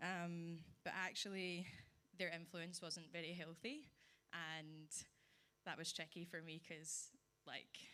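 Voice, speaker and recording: Speaking at a very slow pace with long, frequent pauses, a woman uses a fairly low pitch, a bright, sharp tone and monotone, flat intonation. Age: 20s. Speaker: church member giving testimony. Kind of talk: testimony. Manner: slow, deliberate; reading from phone.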